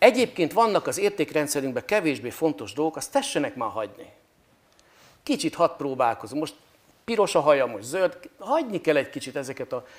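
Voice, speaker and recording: A man speaks at a fairly quick pace. His fairly high voice moves in very wide pitch swings. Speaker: priest guest on talk show. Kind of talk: interview answer. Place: hall. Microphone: lapel.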